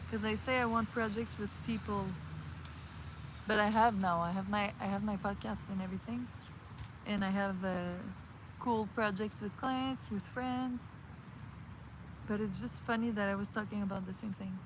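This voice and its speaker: A soft-spoken, somewhat breathy woman talks at a moderate pace and medium pitch, with long, frequent pauses. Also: ordinary pitch variation. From Montreal, Canada. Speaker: vlogger / livestreamer. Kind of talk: casual talk to camera, chill hangout vlog. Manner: soft-spoken, relaxed.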